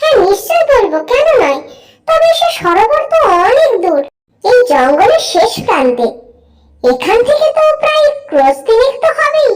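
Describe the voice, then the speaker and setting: A cartoonish character voice, squeaky and extremely high, swings very widely in pitch at a moderate pace. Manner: friendly, chatty.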